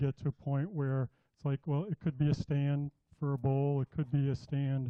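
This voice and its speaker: Soft-spoken, a man talks at a fairly high pitch. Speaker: woodturning demonstrator. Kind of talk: live demonstration. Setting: club workshop with audience.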